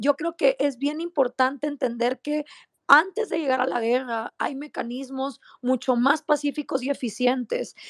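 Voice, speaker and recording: An animated voice moves at a fairly slow pace with ordinary pitch variation, in a dry, close sound with no echo. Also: woman, high pitch for a woman. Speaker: activist. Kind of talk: casual chat. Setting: online audio room.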